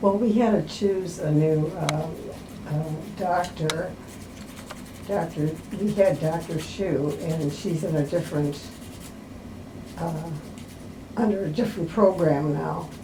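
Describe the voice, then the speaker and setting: A woman's fairly low voice with ordinary pitch variation, a fairly slow pace and long, frequent pauses, plus audible room echo and noticeable background noise. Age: 90s. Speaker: patient. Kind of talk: casual chat. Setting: doctor's office.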